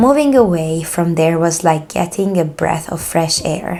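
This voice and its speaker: A woman with a Hungarian accent, fairly low pitch, lively intonation and a fairly slow pace. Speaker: true crime YouTuber. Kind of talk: horror story reading.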